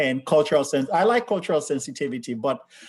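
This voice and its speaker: A man is speaking here. He has a Sierra Leonean accent. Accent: West African (Sierra Leonean). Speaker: healthcare leader. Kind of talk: panel discussion.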